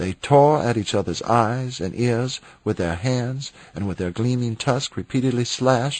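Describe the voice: The pitch shows ordinary variation. The text comes as plain reading aloud.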